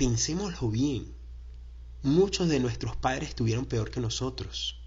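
A man speaks at a moderate speed, his voice echoing audibly in the room. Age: 30s. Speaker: podcast host. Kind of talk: personal development monologue.

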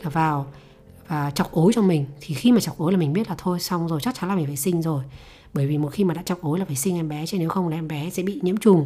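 A woman with a fairly low voice talks very fast, her pitch moving in an ordinary way, while music plays in the background. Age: 30s. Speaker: podcast host. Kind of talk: personal storytelling monologue.

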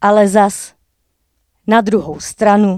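At a very slow pace, a woman speaks at a medium pitch in a dry, close sound with no echo, on a very clean recording with a silent background. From Czech Sudetes, Jáchymov area. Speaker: slam poet. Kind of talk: casual interview; slam poetry performance.

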